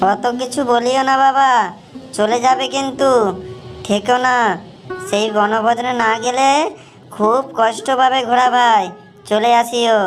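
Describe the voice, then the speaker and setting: Over clear music in the background, a cartoonish character voice that sounds female speaks at a high pitch and a fairly slow pace. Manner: lively, folksy and familiar.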